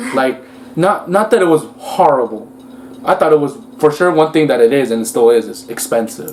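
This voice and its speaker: Over noticeable background noise, a man with a Spanish accent talks at a fairly quick pace, with a fairly high pitch and very wide pitch swings. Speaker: couple vlogger. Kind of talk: casual chat.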